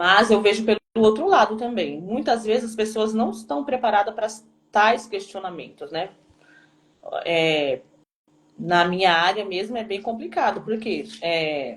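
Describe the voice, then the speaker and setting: A woman's lively intonation with long, frequent pauses. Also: fairly high pitch for a woman, fairly slow pace. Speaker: teacher. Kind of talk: live stream talk.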